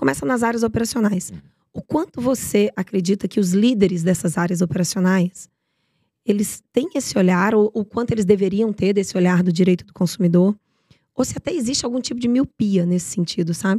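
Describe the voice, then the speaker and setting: A woman speaks at a fairly quick pace, her medium pitch carrying ordinary variation and a dark, mellow tone. The sound is somewhat breathy, dry and close with no echo. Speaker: podcast host. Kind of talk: interview.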